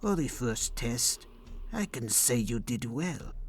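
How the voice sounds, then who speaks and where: A man holds a put-on character voice at a very even loudness and fairly slow pace over clear background noise. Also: medium pitch for a man. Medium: audio drama. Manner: hushed, slow, menacing.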